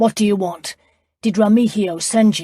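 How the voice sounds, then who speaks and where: A woman uses a put-on character voice at a medium pitch and a moderate pace. Her intonation is fairly even, and the sound is dry and close with no echo. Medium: read story. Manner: assured, commanding.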